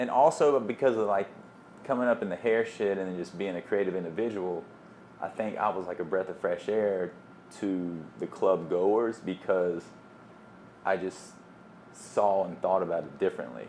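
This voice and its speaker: With a Southern US accent, a man with a fairly low voice talks at a moderate pace, using ordinary pitch variation and long, frequent pauses. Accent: Southern accent, kept. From US South, small town. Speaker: DJ. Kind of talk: casual chat.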